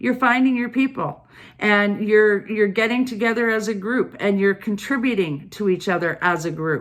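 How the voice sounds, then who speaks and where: With a medium pitch and ordinary pitch variation, a woman is talking. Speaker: tarot and oracle card reader. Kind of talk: card reading monologue to viewers. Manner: loud.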